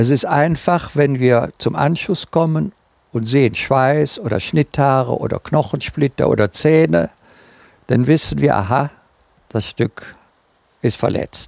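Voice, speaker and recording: A man with a fairly high voice speaks at a very slow pace, with ordinary pitch variation, long and frequent pauses, and a dry, close sound free of echo. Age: 70s. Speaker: tracking dog handler and author. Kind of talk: interview.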